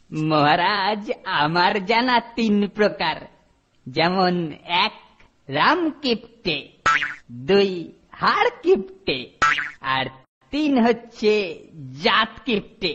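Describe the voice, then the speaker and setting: Doing a cartoonish character voice, a man speaks high in pitch at a very slow pace with lively intonation as sound effects play in the background. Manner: formal, lecturing.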